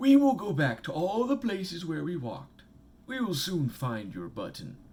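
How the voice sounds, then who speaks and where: Using a put-on character voice, a man speaks high at a moderate pace, his pitch swinging very widely. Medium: read story. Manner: calm, encouraging.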